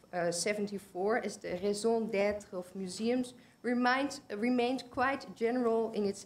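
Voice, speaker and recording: A woman speaks with a Dutch accent at a moderate pace. Her pitch is medium, with ordinary variation. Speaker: conference presenter, museum researcher. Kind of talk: conference presentation. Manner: halting, self-correcting.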